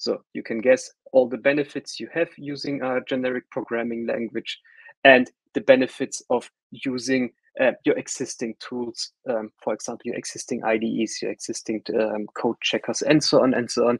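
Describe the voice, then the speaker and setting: A man with a German accent speaks at a moderate pace, the sound dry and close with no echo. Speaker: solutions architect presenting a tech workshop. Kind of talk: webinar tutorial. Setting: online webinar call. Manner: casual with frequent fillers and repetitions.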